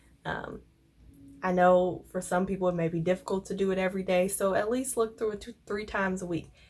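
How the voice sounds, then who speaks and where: Over music in the background, a woman with an American accent talks at a fairly quick pace, at medium pitch and with fairly even intonation. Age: 20s. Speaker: law student. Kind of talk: casual talk to camera.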